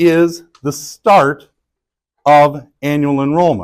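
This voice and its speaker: The man's voice sits at a fairly high pitch. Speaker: healthcare business owner giving educational talk. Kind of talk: educational presentation. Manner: loud.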